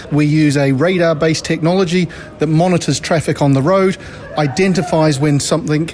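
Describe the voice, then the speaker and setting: Fairly high male speech at a fairly quick pace, ordinary in pitch variation, over noticeable background noise. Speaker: technology company director. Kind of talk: interview. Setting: conference venue.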